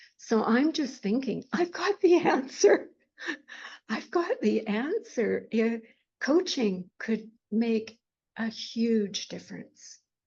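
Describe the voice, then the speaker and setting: Very slowly, a woman speaks at a fairly high pitch with lively intonation. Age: 80s+. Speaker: life and grief coach, retired school district worker. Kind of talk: podcast interview answer.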